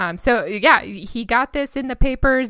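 A woman's high, bright, sharp voice with an American accent in a very clean recording with a silent background. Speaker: true crime podcast co-host. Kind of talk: casual chat.

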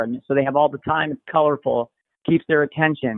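A man speaks with an American accent. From Pennsylvania (Bethlehem). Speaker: tennis coach. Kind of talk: interview. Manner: hesitant, many fillers.

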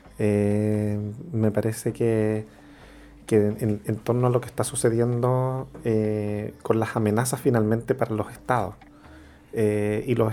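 The intonation is monotone and flat. Noticeable background noise runs under the voice. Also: man. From Chile, Santiago. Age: 40s. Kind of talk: radio interview.

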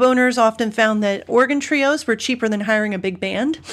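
A Mid-Atlantic American accent with ordinary pitch variation, in a very clean recording with a silent background. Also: woman. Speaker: podcast host.

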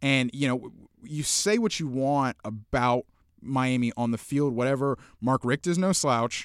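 A man with an unremarkable speaking voice talks at a fairly slow pace in a medium pitch, with ordinary pitch variation and very even loudness, the sound dry and close with no echo. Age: 20s. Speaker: sports writer. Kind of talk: casual chat. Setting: studio.

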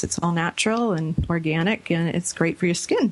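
Over noticeable background noise, a woman with a medium pitch speaks at a moderate pace with fairly even intonation. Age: young. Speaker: radio host and cosmetics entrepreneur. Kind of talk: casual chat.

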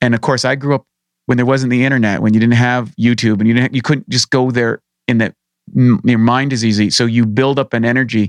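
In a Canadian accent, a man with a normal speaking voice talks at a fairly quick pace and medium pitch, with fairly even intonation, very even loudness and a dry, close sound with no echo. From rural Canada. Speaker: bodybuilding champion and supplement company founder. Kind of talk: interview.

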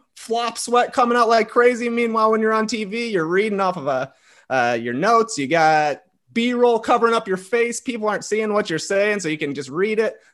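A man with an American accent, high in pitch, with lively intonation, a fairly quick pace and a quiet background. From US Midwest, small town near Chicago, Illinois. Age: 30s. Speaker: podcaster. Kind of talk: casual chat.

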